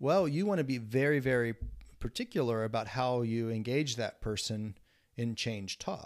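An unremarkable speaking voice from a man at medium pitch, with lively intonation, on a very clean recording with a silent background. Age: 40s. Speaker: counseling professor and podcast host. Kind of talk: casual chat.

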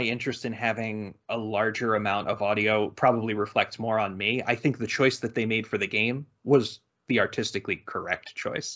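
The speaker is a man with a normal speaking voice. He uses a medium pitch and a moderate pace. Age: 30s. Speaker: video game podcast host. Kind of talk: casual chat.

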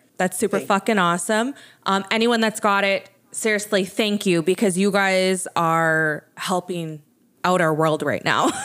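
At a moderate pace, a woman speaks at medium pitch in an animated tone, with ordinary pitch variation and very even loudness. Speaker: podcast host. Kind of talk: casual chat.

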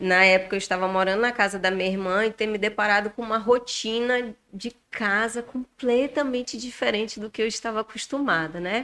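In an unremarkable speaking voice, a woman with a fairly high pitch speaks at a moderate pace with ordinary pitch variation. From Rondônia, Brazil. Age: 40s. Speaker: bariatric surgery patient. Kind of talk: podcast interview.

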